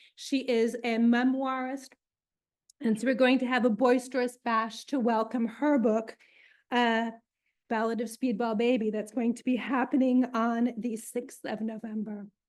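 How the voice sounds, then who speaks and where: A woman's high, monotone voice with a New York accent, at a fairly slow pace against a quiet background. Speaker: library event host. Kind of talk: event introduction. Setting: in-person event, live-streamed, with audience.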